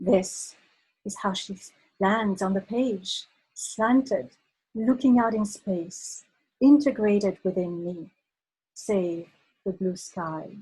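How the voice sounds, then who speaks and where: Speaking at a very slow pace with long, frequent pauses, a woman sounds somewhat breathy, with a dark, mellow tone. Her pitch is medium with ordinary variation, and her loudness swings widely. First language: French. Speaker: poet. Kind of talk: casual introduction; poetry reading. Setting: video call. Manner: halting, many fillers when talking.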